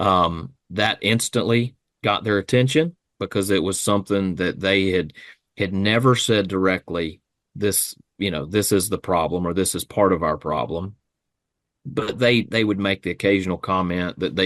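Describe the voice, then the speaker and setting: A man with a plain, everyday voice speaks at a fairly low pitch and moderate pace with ordinary pitch variation, the sound dry and close with no echo against a quiet background. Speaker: regional sales manager. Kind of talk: podcast interview answer.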